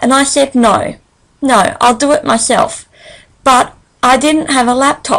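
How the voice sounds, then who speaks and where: At a fairly slow pace with long, frequent pauses, a woman with an Australian accent speaks in a high pitch, her intonation fairly even and her loudness very even. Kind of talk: presentation read from transcript. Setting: solo screen recording.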